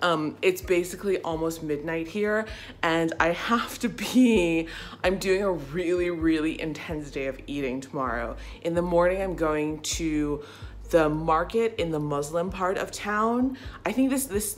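At a fairly slow pace, a woman with an unremarkable speaking voice speaks at a fairly low pitch with lively intonation. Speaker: travel vlogger. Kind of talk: casual vlog chat. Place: home room. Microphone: phone near.

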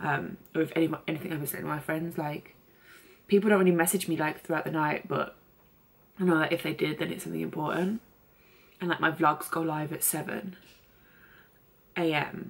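A woman talks at a fairly quick pace in a very deep, low pitch with vocal fry. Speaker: beauty vlogger. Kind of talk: casual vlog talk. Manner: chatty, many fillers. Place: home room. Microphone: phone near.

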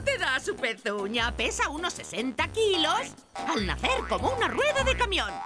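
A woman performs a cartoonish character voice, high and bright with a sharp tone and big pitch swings, at a moderate pace over faint background music.

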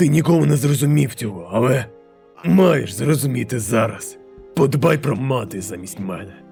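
Using a put-on character voice, a man speaks at a medium pitch with faint music in the background. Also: moderate pace. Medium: dub.

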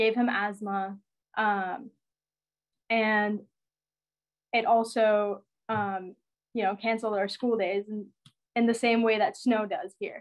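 Very slowly and with long, frequent pauses, a woman speaks at a fairly high pitch with fairly even intonation against a quiet background. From Iran. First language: Persian. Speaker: climate activist. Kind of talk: talk; personal story talk. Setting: video call. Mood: earnest, reflective. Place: home room. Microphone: video call.

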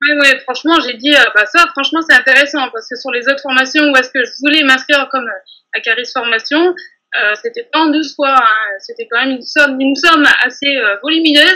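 A woman's raised, projected voice, high in pitch with ordinary pitch variation, bright, sharp tone and fairly quick pace against a quiet background. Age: 30s. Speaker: bakery saleswoman and nail technician trainee; bakery saleswoman. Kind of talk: testimony interview. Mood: warm, enthusiastic. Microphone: video call.

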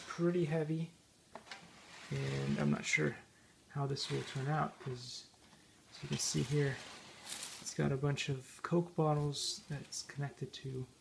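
The pace is fairly slow. There is noticeable background noise. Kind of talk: casual project vlog explanation. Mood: unsure, mildly amused. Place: home room. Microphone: phone near.

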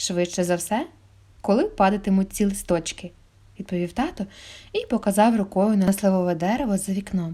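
An unforced reading voice, intonation fairly even throughout

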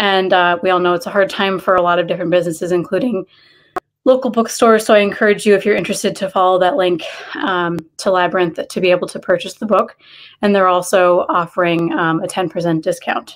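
The woman's very fast talking, with ordinary pitch variation, sits over a quiet background. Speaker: library event host. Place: home room. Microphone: earbuds.

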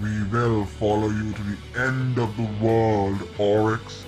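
A man speaks in a put-on character voice at a fairly slow pace over loud background music. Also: fairly low pitch for a man. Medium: dub. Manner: taunting, defiant.

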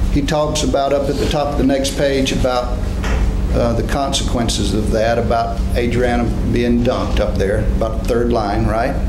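A man at a moderate pace, over noticeable background noise. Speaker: attorney. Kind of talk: courtroom questioning. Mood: measured, formal. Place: hall.

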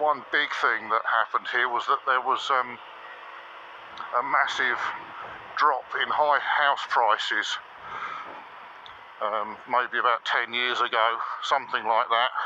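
A man speaks at a fairly slow pace in a monotone, flat intonation with long, frequent pauses and very even loudness. There is light background noise and a dry sound with no echo. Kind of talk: casual ride commentary. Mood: dry joking. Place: motorbike. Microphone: helmet.

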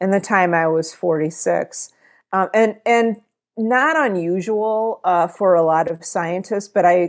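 A woman at a fairly slow pace, ordinary pitch variation, quiet background. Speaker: interview guest. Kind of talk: interview answer. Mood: calm, friendly. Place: home room. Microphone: earbuds.

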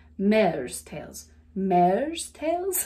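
With a slight Southern US accent, a woman speaks in a dark, mellow, playful tone, her pitch swinging very widely. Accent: light Southern US, city-adapted. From US South. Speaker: wellness coach. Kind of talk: guided laughter exercise. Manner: animated, laughs often.

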